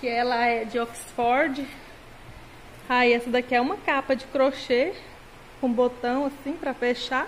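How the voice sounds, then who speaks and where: A woman speaks at a fairly slow pace with a high pitch. Her intonation is fairly even over light background noise. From Brazil, Mato Grosso. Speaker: sewing YouTuber. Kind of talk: casual vlog tutorial. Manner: chatty, informal. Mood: cheerful, smiling. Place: home room. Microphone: phone near.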